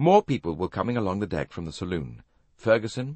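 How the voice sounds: A natural reading voice carries the words with lively intonation.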